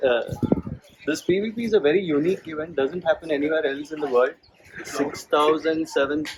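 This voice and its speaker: A soft-spoken man at a fairly high pitch and fairly quick pace, with ordinary pitch variation, over noticeable background noise. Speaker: amateur cyclist. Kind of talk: talk to an audience.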